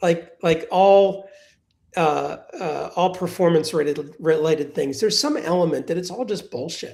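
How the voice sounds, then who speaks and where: At a moderate pace, a man talks with ordinary pitch variation. He has an unremarkable speaking voice. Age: 60s. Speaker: venture capital investor. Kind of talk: live webinar panel conversation. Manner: conversational with frequent restarts and fillers.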